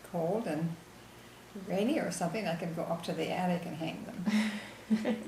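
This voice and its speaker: The speech carries ordinary pitch variation, with audible room echo and noticeable background noise. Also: woman. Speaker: grandmother being interviewed. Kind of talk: family history interview.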